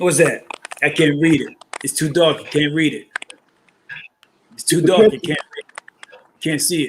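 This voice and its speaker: In a New York accent, a man with a fairly high voice speaks at a moderate pace with ordinary pitch variation, big swings in loudness and long, frequent pauses. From New York (Brooklyn). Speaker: caller. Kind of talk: casual chat.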